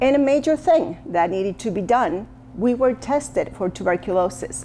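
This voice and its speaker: A woman speaks with an Argentine accent. Her pitch swings very widely. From Argentina, Buenos Aires. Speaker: social media commentator. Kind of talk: personal testimony monologue. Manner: halting, self-correcting.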